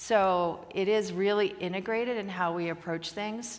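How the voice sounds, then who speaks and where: Audible echo fills the room. The intonation remains fairly even. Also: woman. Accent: American. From US, Oregon. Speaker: company executive, conference speaker. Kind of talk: conference Q&A. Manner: fast.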